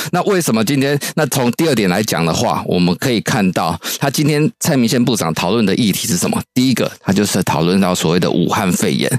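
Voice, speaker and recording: Talking at a fairly quick pace with hardly any pauses, a man with a Taiwanese accent keeps his loudness very even at a medium pitch. His pitch swings very widely over noticeable background noise. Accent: Taiwanese Mandarin. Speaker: political researcher. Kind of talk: radio interview commentary.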